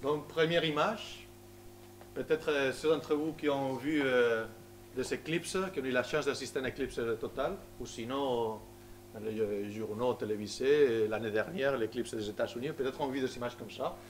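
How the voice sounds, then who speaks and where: Moderately paced speech from a man, medium in pitch and ordinary in pitch variation. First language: Spanish (speaking French). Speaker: solar physicist. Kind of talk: public lecture. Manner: halting, many hesitations.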